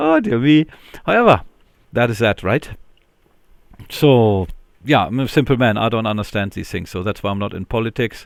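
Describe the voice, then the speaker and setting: A man at a medium pitch and moderate pace, with long, frequent pauses. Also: ordinary pitch variation. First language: not English. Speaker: linux youtuber. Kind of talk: casual screen-recorded tech commentary. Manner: hesitant, filler-heavy.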